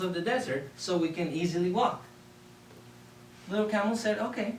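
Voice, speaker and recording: Someone with a Spanish accent speaks at a moderate pace with lively intonation and long, frequent pauses, over noticeable background noise and audible room echo. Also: man. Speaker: public speaker. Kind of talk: contest speech. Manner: animated.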